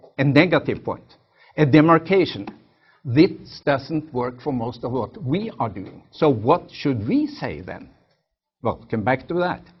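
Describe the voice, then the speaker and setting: Somewhat breathy, a man speaks in a Norwegian accent. His pitch is fairly high and his intonation lively. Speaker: professor. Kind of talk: lecture. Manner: halting.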